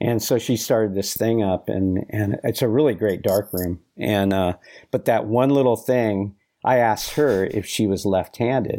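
In a very clean recording with a silent background, a plain, everyday voice moves at a moderate pace with ordinary pitch variation. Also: man, fairly low pitch for a man. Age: 60s. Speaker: action sports photographer. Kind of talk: interview.

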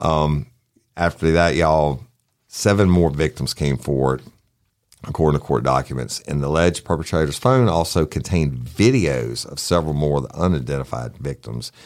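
A man with a Southern US accent, very deep and low-pitched, with big swings in loudness and ordinary pitch variation. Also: moderate pace. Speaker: true crime podcast host. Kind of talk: casual chat.

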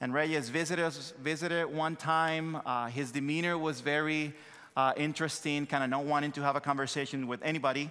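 Talking at a fairly quick pace with a Dominican accent, a man has a fairly high, bright, sharp voice and monotone, flat intonation. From Dominican Republic. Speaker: missionary pastor. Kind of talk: sermon. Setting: church.

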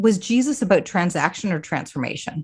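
Lively intonation and a somewhat breathy quality mark this moderate-paced voice with a Canadian accent, heard in a very clean recording with a silent background. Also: woman. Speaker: ministry director. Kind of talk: interview.

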